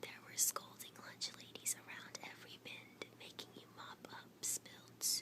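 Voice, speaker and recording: Someone is whispering at a fairly slow pace. Noticeable background noise sits behind the voice. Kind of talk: reading a children's picture book aloud. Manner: soft-spoken, whispering.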